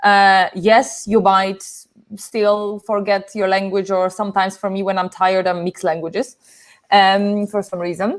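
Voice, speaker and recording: A woman speaks at a medium pitch. She keeps a moderate pace. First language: Polish. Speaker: social media business show host. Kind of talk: live stream discussion. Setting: live stream. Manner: animated, self-correcting.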